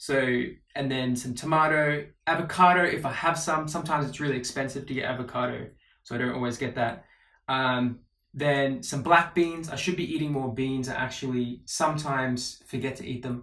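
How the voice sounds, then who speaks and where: At a fairly quick pace, a man with an Australian accent talks at medium pitch with fairly even intonation. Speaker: vlogger. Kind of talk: casual vlog monologue. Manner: casual, with many fillers.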